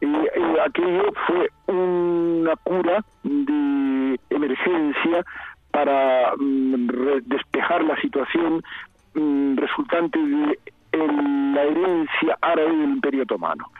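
Over noticeable background noise, a man with a fairly high pitch speaks very slowly, with very even loudness and ordinary pitch variation. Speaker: historian and emeritus professor. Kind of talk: interview. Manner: halting.

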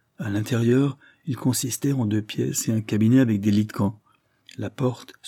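The text is read aloud plainly. Behind it, there is only quiet.

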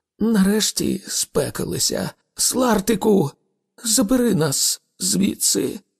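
A man's put-on character voice, high and shaky with a slightly husky edge and vocal fry, slow in pace with lively intonation and a dry, close sound with no echo.

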